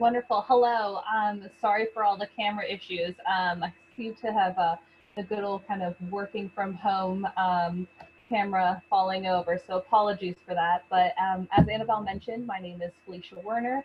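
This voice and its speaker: In a Canadian accent, a woman speaks at a medium pitch and a moderate pace with fairly even intonation. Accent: non-British, Canadian. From Canada. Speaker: university recruitment manager. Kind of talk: online information session. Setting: video webinar from home.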